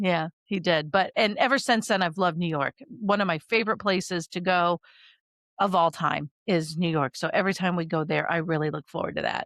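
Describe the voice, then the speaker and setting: A woman's fairly low voice, dry and close with no echo, over a quiet background. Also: ordinary pitch variation, fairly quick pace. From rural Iowa, US Midwest. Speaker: podcast co-host, military veteran. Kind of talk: casual chat. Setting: home studio.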